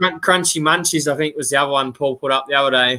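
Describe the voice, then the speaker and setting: The speaker is a man. He talks in an Australian accent. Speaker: outdoors YouTuber, live chat host. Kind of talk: casual live-stream chat.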